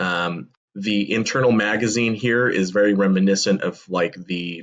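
Speaking at a fairly slow pace, a man with a fairly low pitch shows ordinary pitch variation over a quiet background. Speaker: toy blaster reviewer. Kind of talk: commentary. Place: home room. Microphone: webcam.

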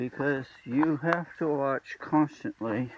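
The recording is dry with no echo but carries noticeable background noise. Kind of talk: casual vlog chat. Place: forest. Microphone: phone near.

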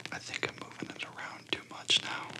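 A soft-spoken man whispering in an amused tone at a fairly quick pace, with noticeable background noise. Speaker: relaxation video host. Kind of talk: calm guided meditation talk. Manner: soft whisper, slightly amused. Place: home room.

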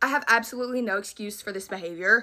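A woman with a Southern US accent, fairly high-pitched and animated, talking at a very fast pace over light background noise. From US South. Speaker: beauty content creator. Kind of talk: product haul video. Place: home room. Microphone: phone near.

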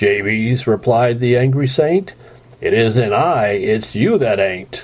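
Over noticeable background noise, a man at medium pitch speaks at a very slow pace, with lively intonation and very even loudness. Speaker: amateur reader / parent. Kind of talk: reading a humorous poem aloud.

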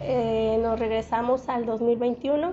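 A woman's fairly high-pitched voice with a dark, mellow tone

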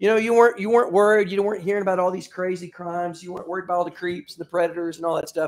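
A man speaks at a high pitch. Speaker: pastor. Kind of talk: sermon. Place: church.

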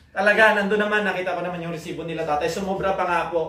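A man speaks with an animated tone and ordinary pitch variation, with audible room echo and noticeable background noise. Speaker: vlogger. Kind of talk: casual vlog house tour.

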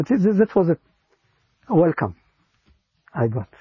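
A somewhat breathy man with an Israeli accent speaks at a fairly slow pace, and the sound is dry with no echo. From Israel, Givatayim near Tel Aviv. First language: Hebrew. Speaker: interviewee sharing faith story. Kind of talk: personal testimony. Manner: halting, with frequent repetitions.

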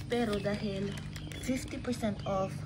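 A woman's voice comes through loud background noise. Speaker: home vlogger. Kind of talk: casual vlog chat. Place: garage. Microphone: phone near.

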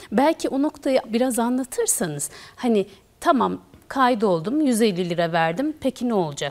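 A woman is speaking at a moderate pace. Her pitch swings very widely. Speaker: TV show host. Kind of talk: TV interview. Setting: studio. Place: studio. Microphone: lapel.

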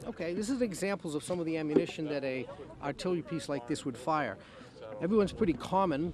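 At a fairly quick pace, a man speaks in a dry sound with no echo, with noticeable background noise behind him. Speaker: historical reenactor artilleryman. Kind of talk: interview answer, explanatory demonstration. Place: open country. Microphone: handheld.

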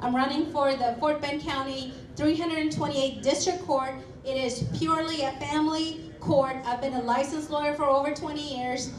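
Speech comes at a moderate pace with fairly even intonation. Light background noise and audible room echo can be heard. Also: woman, high pitch for a woman. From Kerala, India. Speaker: prosecutor and judicial candidate; candidate. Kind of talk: campaign speech. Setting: hall with audience. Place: hall.

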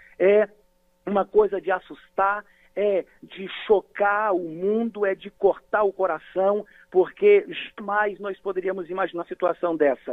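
Here a man speaks with a high pitch and fairly even intonation. His pace is fairly slow, and his loudness swings widely. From Brazil, Bahia (Vitória da Conquista). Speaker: pastor. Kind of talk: radio interview.

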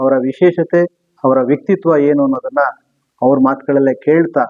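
Fairly high in pitch, a man talks in an ordinary speaking voice. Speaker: interviewer. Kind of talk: interview questions.

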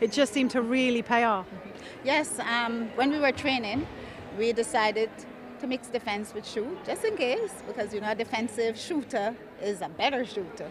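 Over noticeable background noise, a woman with a fairly high pitch speaks at a moderate pace with ordinary pitch variation, the sound dry with no echo. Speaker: netball coach. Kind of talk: post-match interview; interview answer. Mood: proud, calm after game. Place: hall. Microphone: handheld.

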